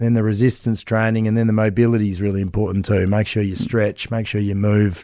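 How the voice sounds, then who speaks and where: Against a quiet background, a man with an Australian accent talks at a fairly quick pace in a fairly low, dark, mellow voice, his intonation monotone and flat. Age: 40s. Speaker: celebrity personal trainer. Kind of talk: radio interview.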